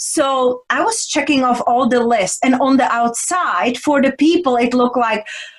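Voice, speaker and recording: A woman's high voice at a moderate pace, with ordinary pitch variation, very even loudness, hardly any pauses and noticeable background noise. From Czech Republic. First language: Czech. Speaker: women's transformational coach. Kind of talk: interview conversation.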